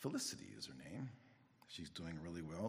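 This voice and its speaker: A man with a very deep, low pitch speaks at a moderate pace with lively intonation, and audible room echo surrounds him. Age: 60s. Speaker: Bible teacher. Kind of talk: sermon.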